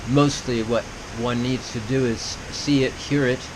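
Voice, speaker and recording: Against noticeable background noise, a man speaks fairly slowly at a medium pitch in a monotone, flat intonation. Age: 70s. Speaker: violinist and artist sharing reflections. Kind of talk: solo video monologue. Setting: home camera on tripod. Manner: discursive, repetitive.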